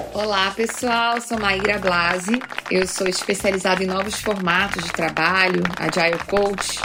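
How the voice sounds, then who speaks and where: There is noticeable background noise behind a woman's voice. She speaks at a fairly slow pace with fairly even intonation. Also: medium pitch for a woman. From Rio de Janeiro, Brazil. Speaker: agile coach and author. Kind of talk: podcast interview.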